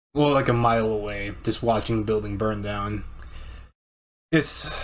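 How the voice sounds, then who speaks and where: Fairly slow, fairly low-pitched speech from a man, in audible room echo. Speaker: streamer reacting to videos. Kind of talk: casual reaction commentary. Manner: halting, repeats words.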